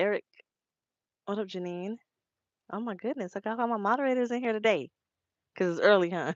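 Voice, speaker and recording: A woman talks at a fairly quick pace and a medium pitch. Her speech has long, frequent pauses. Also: ordinary pitch variation. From Los Angeles, California. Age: 30s. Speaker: truck driver and live streamer. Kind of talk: casual live stream chat. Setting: live stream. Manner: fast, run-together speech.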